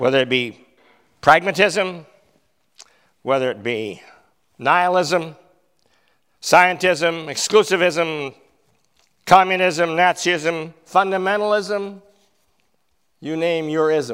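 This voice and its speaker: A man with a Canadian accent speaks at a very slow pace and a high pitch, with ordinary pitch variation. He leaves long, frequent pauses, and the recording is very clean with a silent background. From Canada, northern British Columbia (Fort St. John). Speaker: preacher. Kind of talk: sermon.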